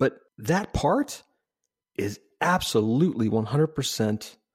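On a very clean recording with a silent background, a man speaks in a normal speaking voice. His pitch is medium and his intonation lively. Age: 50s. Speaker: podcast host and UX consultant. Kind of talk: casual interview conversation.

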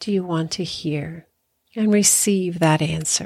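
Slow and calm, a woman speaks at a very slow pace in a soothing tone. Her fairly low pitch has ordinary pitch variation. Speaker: spiritual life coach and hypnotherapist. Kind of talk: guided meditation. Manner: slow, soothing, gentle; calm, with long pauses.

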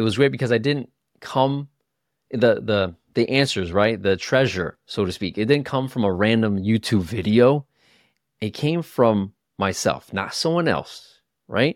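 A man speaks at a fairly slow pace in an ordinary speaking voice. The recording is very clean with a silent background. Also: medium pitch for a man. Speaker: podcast host. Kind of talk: guided meditation. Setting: solo podcast. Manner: slow, calm, soothing; gentle, instructive.

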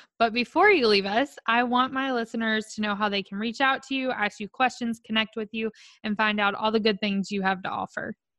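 A woman with a Southern US accent, fairly high-pitched and fairly quick, with a bright, sharp, animated and enthusiastic tone, in a dry, close recording with no echo and a quiet background. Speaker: podcast host. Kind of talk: casual interview chat. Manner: animated, enthusiastic.

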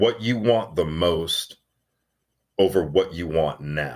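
With a very deep, low pitch and an American accent, a man speaks at a very slow pace with lively intonation. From Arizona (Tucson). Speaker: actor. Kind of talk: casual chat.

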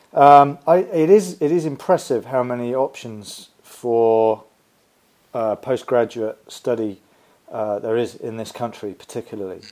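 In a dark, mellow tone, a man speaks at a fairly slow pace with lively intonation. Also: medium pitch for a man, big swings in loudness. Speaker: podcast host and sports nutrition educator. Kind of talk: podcast interview.

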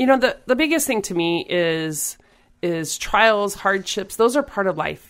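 With an American accent and an unremarkable speaking voice, a woman talks at a moderate pace with lively intonation in a very clean recording with a silent background. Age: 40s. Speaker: volleyball player and coach. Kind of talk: interview.

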